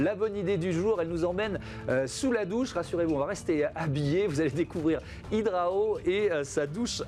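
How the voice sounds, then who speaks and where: Music plays in the background as a man talks at a high pitch. His loudness stays very even. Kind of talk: broadcast presenter.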